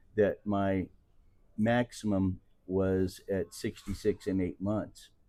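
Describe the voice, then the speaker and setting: A man with a Midwestern US accent speaks very slowly in a fairly low pitch. His tone is dark and mellow, with monotone, flat intonation. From Missouri, Kansas City. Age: 60s. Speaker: retiree. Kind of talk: interview.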